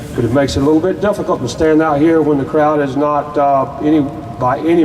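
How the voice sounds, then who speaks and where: Heard over noticeable background noise and audible room echo, a man with a fairly high pitch and a North Carolina accent talks at a moderate pace. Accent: Southern US (North Carolina). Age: 60s. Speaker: activist group member, veteran. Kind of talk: rally speech. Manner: halting.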